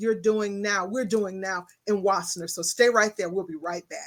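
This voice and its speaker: A woman with a Texas accent on a very clean recording with a silent background. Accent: Texas Southern drawl. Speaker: talk show host. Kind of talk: interview. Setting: studio.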